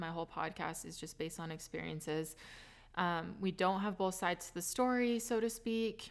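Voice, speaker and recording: In a normal speaking voice, a woman talks at a moderate pace with an American accent, her pitch fairly low and her pitch variation ordinary. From California. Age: 20s. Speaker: podcast host. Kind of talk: casual interview chat.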